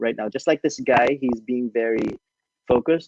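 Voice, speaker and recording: Heard in a dry, close sound with no echo, a man with a non-native accent talks at a medium pitch and a moderate pace, with ordinary pitch variation. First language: not English. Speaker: tarot reader. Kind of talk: tarot reading on a live podcast. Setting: live-streamed video podcast.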